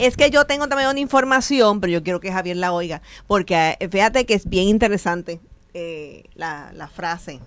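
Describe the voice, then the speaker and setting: Delivered at a moderate pace, the speech has big swings in loudness and very wide pitch swings. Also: woman. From Puerto Rico. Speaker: radio host. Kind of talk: casual chat. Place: studio.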